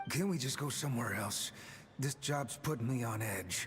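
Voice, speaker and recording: Over clear background noise, a man does a raspy put-on character voice at medium pitch, nervous in tone and moderate in pace. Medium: video game. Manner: nervous, stammering.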